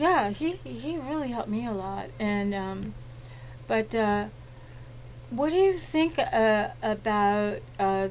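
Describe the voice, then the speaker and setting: A woman's voice at a very slow pace with long, frequent pauses and audible room echo. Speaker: talk show host. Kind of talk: interview.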